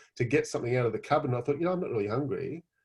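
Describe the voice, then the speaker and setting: Here is an animated man with an Australian accent and a somewhat breathy voice. His pitch varies in an ordinary way. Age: 50s. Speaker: customer giving a product testimonial. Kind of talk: testimony. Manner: animated, hesitant with fillers.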